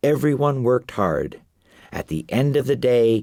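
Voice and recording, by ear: Natural-voiced reading aloud.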